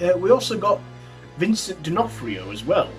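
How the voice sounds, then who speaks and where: A man speaks at a moderate pace. Clear music can be heard in the background. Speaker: horror film reviewer. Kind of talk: casual review vlog. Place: home room. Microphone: phone near.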